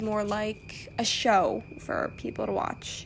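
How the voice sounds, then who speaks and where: A woman's voice in an American accent with ordinary pitch variation. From United States. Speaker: podcast host. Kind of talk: casual solo podcast talk. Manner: casual, many fillers and restarts.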